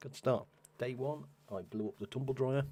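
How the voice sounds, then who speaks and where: Speaking quietly at a fairly quick pace, a man talks with an English accent. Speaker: video game streamer. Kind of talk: live gameplay stream commentary. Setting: at home, live stream at 3 am. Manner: talking very quietly.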